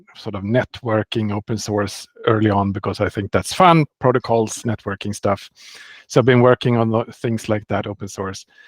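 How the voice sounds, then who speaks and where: Speaking with a Swedish accent, a man keeps a medium pitch, a moderate pace and ordinary pitch variation, recorded against a quiet background with a dry, close sound and no echo. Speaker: software developer. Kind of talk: interview.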